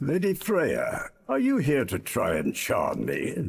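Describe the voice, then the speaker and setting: A man does a put-on character voice. He talks at a fairly slow pace. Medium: fan dub. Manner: grave, measured.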